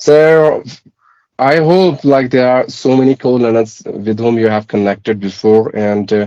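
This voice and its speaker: Here a man speaks at a fairly slow pace in a dark, mellow tone. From India, Uttarakhand. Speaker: English teacher, government clerk. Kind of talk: casual chat.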